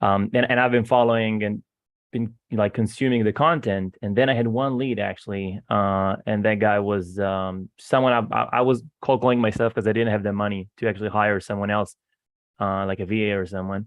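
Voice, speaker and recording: Fairly even intonation at a moderate pace, in an Israeli accent. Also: man, fairly low pitch for a man. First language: Hebrew. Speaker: real estate investor. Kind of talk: casual chat. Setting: video call. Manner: halting, many repeated words.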